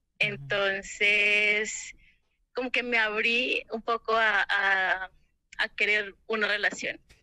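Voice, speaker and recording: Her tone is bright and sharp, set at a fairly high pitch with fairly even intonation. The woman speaks at a very slow pace against a quiet background. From Colombia. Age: 20s. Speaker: caller. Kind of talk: phone call. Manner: halting.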